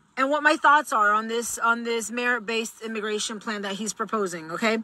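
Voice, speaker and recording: The speaker is a woman with a fairly high pitch and a bright, sharp tone. She talks at a moderate pace with ordinary pitch variation. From Mexico. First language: Spanish. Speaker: political commentator. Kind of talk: vlog commentary.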